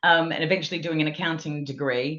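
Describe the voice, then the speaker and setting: With a slight Australian accent, a woman speaks in a fairly low pitch. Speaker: technology and people leader. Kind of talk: podcast interview.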